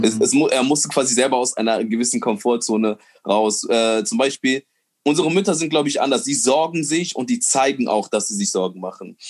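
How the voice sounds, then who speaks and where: With an ordinary speaking voice at medium pitch, a man talks with lively intonation. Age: 20s. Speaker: comedian and nurse. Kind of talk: casual chat.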